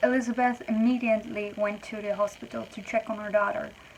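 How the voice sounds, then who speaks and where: Fairly high pitch from a woman, fairly even intonation, and noticeable background noise. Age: young. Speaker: YouTuber. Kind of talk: storytelling narration. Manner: casual.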